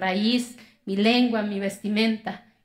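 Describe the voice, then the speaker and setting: A woman talks at a fairly slow pace. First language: Zapotec (speaking Spanish). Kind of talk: TEDx talk.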